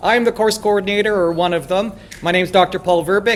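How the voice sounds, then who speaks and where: With a Canadian accent, a man speaks at a fairly quick pace in a high pitch. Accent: Canadian, noticeable to local audience. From Canada. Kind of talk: lecture. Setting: lecture hall. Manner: casual, joking.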